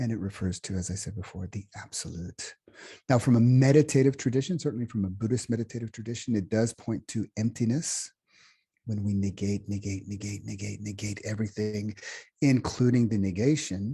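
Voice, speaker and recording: Fairly quick, somewhat breathy speech from a man with an American accent, fairly low in pitch and dark and mellow in tone, over a quiet background. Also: ordinary pitch variation. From United States. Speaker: meditation teacher. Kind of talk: workshop talk. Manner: halting, with many fillers and restarts.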